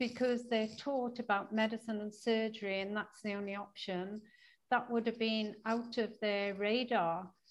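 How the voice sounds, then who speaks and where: A woman with an ordinary speaking voice at fairly high pitch. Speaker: interviewer host. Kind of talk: interview conversation.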